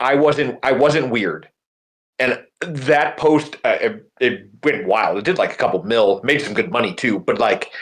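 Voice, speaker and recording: The voice carries vocal fry and lively intonation at a fairly slow pace. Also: man, fairly high pitch for a man. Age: middle-aged. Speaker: teacher and podcast co-host. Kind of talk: casual chat.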